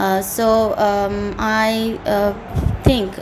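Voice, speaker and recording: With a Bengali accent, a woman speaks at a medium pitch in a monotone, flat intonation, with audible room echo and noticeable background noise. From Bangladesh. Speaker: IELTS candidate. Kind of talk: mock speaking exam. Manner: halting, many fillers.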